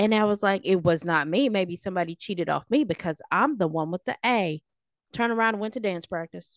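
A woman's animated, medium-pitched voice at a fairly quick pace with ordinary pitch variation, dry and close with no echo, against a quiet background. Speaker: podcast co-host. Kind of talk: casual chat.

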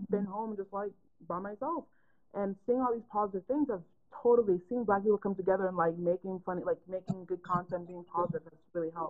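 Fairly quickly and at a medium pitch, a woman speaks in an unremarkable speaking voice with ordinary pitch variation. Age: 20s. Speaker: interviewer. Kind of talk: interview. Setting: livestream video call.

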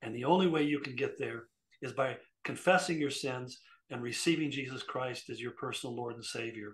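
Speaking at a fairly quick pace, a man with a medium-pitched, somewhat breathy voice uses ordinary pitch variation. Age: 70s. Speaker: pastor. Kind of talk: casual chat; sermon.

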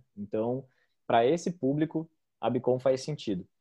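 A man uses a normal speaking voice, his medium pitch varying in an ordinary way as he talks at a moderate pace. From southern Brazil, Joinville (Santa Catarina). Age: 30s. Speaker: startup founder, marketer. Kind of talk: podcast interview.

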